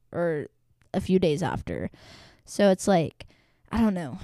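A woman's medium-pitched voice at a fairly slow pace, dry and close with no echo, in a very clean recording with a silent background. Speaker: solo podcaster and barista. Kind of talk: casual solo chat. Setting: home, at desk. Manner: breathless, big breaths after talking.

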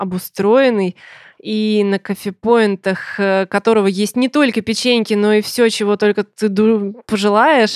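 A woman with an unremarkable speaking voice talks at a fairly slow pace and fairly high pitch, with fairly even intonation, in a dry, close sound with no echo on a very clean recording with a silent background. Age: 30s. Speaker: software tester, former PR specialist. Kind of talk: interview.

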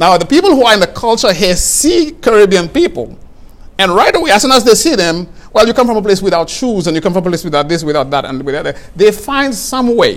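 A man's high voice at a very fast pace, with very wide pitch swings and noticeable background noise. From St. Lucia. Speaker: guest speaking on faith and justice. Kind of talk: interview conversation.

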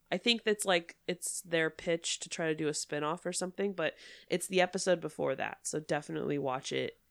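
A woman's fairly low voice with vocal fry, ordinary pitch variation and a fairly quick pace. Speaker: podcast co-host. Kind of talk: casual chat.

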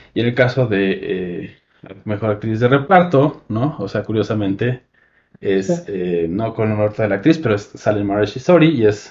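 A man's fairly low voice at a moderate pace, with lively intonation. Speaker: film podcast host. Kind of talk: casual chat. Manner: soft-spoken.

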